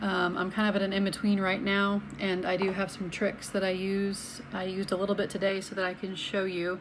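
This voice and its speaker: With an American accent, a woman talks at a moderate pace and medium pitch, her voice carrying audible room echo. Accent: slight Southern US accent, evened out. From US South, Atlanta, Georgia (Alpharetta). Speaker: health vlogger. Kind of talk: casual talk to camera. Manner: conversational, with many fillers.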